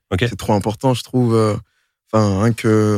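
A man at medium pitch and fairly quick pace with fairly even intonation, on a very clean recording with a silent background and a dry, close sound with no echo. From Montreuil, Paris suburbs. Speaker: rapper. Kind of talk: casual chat. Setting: studio.

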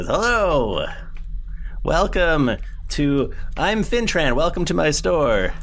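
The speaker uses a put-on character voice at a middle pitch. The pace is very slow, with long, frequent pauses. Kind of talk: cheerfully welcoming customers.

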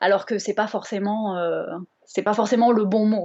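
A woman with a Bordeaux accent and fairly even intonation. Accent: southwestern French (Bordeaux). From France, Bordeaux. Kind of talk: casual interview chat.

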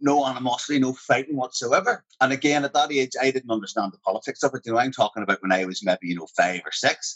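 A man with a Northern Irish accent talks at a very fast pace with hardly any pauses, at a medium pitch with ordinary pitch variation. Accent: Northern Irish (Armagh). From Northern Ireland, Portadown. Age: 40s. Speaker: actor. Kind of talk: casual interview chat.

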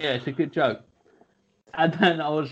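This man speaks at a moderate pace with a fairly high pitch in an unremarkable speaking voice. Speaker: comedian and podcast co-host. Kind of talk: casual comedy chat.

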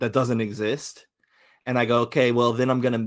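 A man in an ordinary speaking voice talks at a moderate pace, medium in pitch with fairly even intonation. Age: 30s. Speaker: tabletop game designer. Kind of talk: casual chat.

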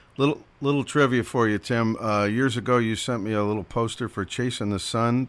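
The recording is very clean, with a silent background. An unremarkable speaking voice goes at a fairly quick pace, its intonation fairly even. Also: man. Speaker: radio host. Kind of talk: radio show hosting. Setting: college radio studio.

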